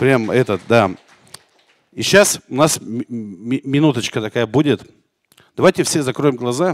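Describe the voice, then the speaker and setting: Against a quiet background, a man speaks at a fairly slow pace with long, frequent pauses. His intonation is lively. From Arkhangelsk region, northern Russia. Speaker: talk show host. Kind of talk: live talk show. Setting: studio with live audience. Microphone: handheld.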